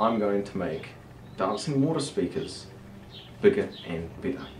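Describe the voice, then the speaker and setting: Over light background noise and audible room echo, a man talks at a fairly slow pace in a fairly low pitch. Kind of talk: casual vlog chat. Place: garage. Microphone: camera far.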